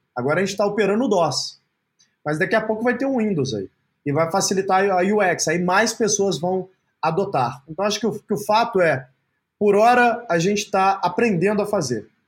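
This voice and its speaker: A man talks at a moderate pace, his high pitch showing ordinary variation. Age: 30s. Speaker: entrepreneur. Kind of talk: interview.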